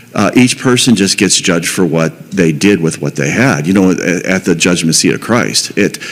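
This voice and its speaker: Lively intonation carries the speech at a moderate pace. Noticeable background noise runs underneath. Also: man. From Pittsburgh, US. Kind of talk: testimony. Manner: halting, repetitive.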